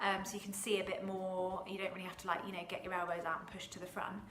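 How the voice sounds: Speaking fast with little pitch movement, a woman with a fairly low voice is heard amid audible room echo.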